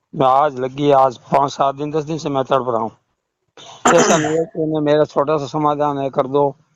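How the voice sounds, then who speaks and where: This man has an unremarkable speaking voice. He talks at a moderate pace with a fairly high pitch. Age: 60s. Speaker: caller, retired roadways worker and devotee. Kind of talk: phone call about religious doubts.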